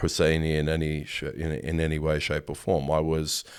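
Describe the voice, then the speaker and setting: Heard on a very clean recording with a silent background, a man talks at a moderate pace. His pitch is very deep and low, in an Australian accent. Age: 40s. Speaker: photographer. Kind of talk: interview. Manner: halting.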